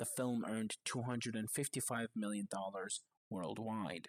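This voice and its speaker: A man at a moderate pace in a very clean recording with a silent background, dry and close with no echo. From outside the US. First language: not English. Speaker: video essayist. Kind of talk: scripted narration.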